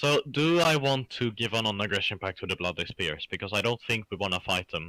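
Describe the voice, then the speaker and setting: A man with a Swedish accent, fairly quick and lively in intonation, on a very clean recording with a silent background. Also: fairly low pitch for a man, hardly any pauses. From Sweden. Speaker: gaming co-op partner. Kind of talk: casual chat.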